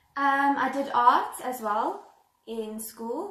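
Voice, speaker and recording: A woman talks with fairly even intonation amid audible room echo. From South Africa, Johannesburg. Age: 20s. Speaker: au pair applicant. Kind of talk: video self-introduction.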